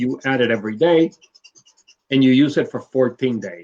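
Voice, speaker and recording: The man's voice sits at a medium pitch with ordinary pitch variation. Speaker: bird breeder. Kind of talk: live video interview. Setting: live online stream. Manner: slow, deliberate.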